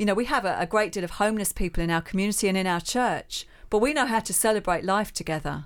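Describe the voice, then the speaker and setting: A woman at a very fast pace and medium pitch, hardly pausing, with ordinary pitch variation on a very clean recording with a silent background. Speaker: charity spokesperson. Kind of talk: radio interview. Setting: radio studio.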